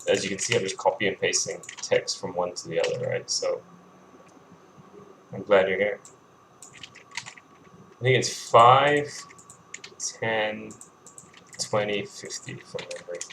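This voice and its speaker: The speech is mumbled at a fairly slow pace, with long, frequent pauses. Noticeable background noise runs underneath. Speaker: game developer streaming coding. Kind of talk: live coding stream, casual narration. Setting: live stream. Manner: mumbling; halting, with repetitions and fillers.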